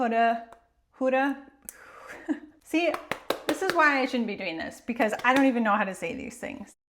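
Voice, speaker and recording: A woman speaks in a high pitch with lively intonation. She leaves long, frequent pauses. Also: moderate pace, big swings in loudness. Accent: strong Minnesota. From US Midwest, Minnesota. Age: 40s. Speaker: singer-songwriter, makeup vlogger. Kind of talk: tutorial. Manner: casual, chatty.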